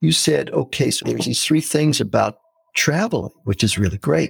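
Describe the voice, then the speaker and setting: In an American accent with vocal fry, a man talks at a fairly quick pace with very wide pitch swings, in a dry, close sound with no echo. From San Francisco, US West Coast. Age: 60s. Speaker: retired pastor, missionary and anthropology professor. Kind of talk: casual interview chat.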